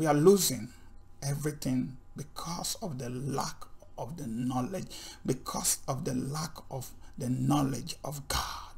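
The voice has vocal fry and ordinary pitch variation. It moves at a fairly slow pace. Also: man, fairly high pitch for a man. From Nigeria. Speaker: Bible teacher. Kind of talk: sermon. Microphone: webcam.

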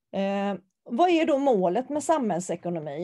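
The voice belongs to a woman with a medium pitch. Her tone is dark and mellow. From Sweden, Varberg (Halland). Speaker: teacher. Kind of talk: recorded lecture. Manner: halting, with filler sounds.

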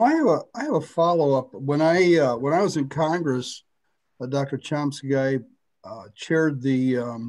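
Fairly high-pitched man with an unremarkable speaking voice, a fairly slow pace and a quiet background. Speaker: university faculty host. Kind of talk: moderated Q&A.

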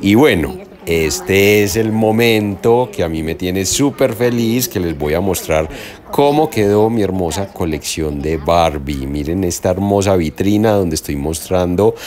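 The speech moves at a fairly slow pace with faint music in the background. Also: man, very deep, low pitch for a man. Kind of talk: casual vlog tour narration. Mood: excited and proud. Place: hall. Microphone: phone near.

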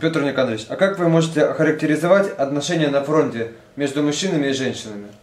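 Delivered very fast, the talking shows ordinary pitch variation, with noticeable background noise throughout. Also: man, fairly high pitch for a man. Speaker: interviewer. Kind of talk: interview.

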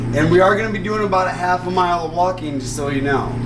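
There is noticeable background noise as a man speaks at a fairly quick pace. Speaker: mine tour guide. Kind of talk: guided tour talk. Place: street.

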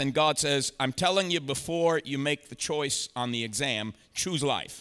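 A man talks at a fairly slow pace with normal pitch movement. His tone is bright and sharp. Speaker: preacher. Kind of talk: sermon. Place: church. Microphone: headset.

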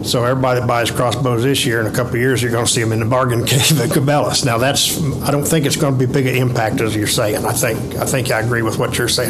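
Clear music plays behind a man who speaks at a very fast pace, with very even loudness and fairly even intonation. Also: hardly any pauses. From US Midwest. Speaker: member of the public, bowhunter; public commenter. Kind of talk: public comment. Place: meeting room. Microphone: podium.

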